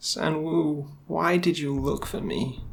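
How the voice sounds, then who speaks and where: In a shaky, put-on character voice, a man speaks at a fairly slow pace and a fairly high pitch over light background noise. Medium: read story. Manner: shaky, stammering.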